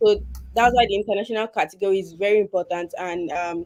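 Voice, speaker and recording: Words rush out at a very fast speed. Pitch rises and falls in an ordinary way. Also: woman. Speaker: PhD student. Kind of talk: webinar presentation. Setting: online webinar.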